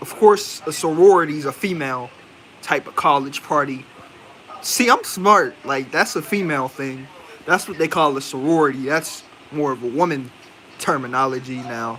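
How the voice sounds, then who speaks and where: With ordinary pitch variation, a man's fairly high voice is heard through noticeable background noise. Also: moderate pace. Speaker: movie reviewer. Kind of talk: casual live stream review. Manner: casual, rambling with fillers.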